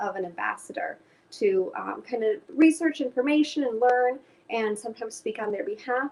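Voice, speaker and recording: At a moderate pace, a woman speaks with a Chicago accent. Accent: Chicago American English. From US Midwest, Chicago. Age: 20s. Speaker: climate education director. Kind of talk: interview. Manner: hesitant with fillers.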